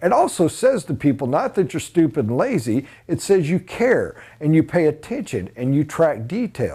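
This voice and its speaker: Over a quiet background, a man with a dark, mellow tone speaks at a moderate pace with hardly any pauses, his pitch swinging very widely. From USA. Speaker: sales trainer. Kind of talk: training lecture. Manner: emphatic. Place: classroom. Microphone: lapel.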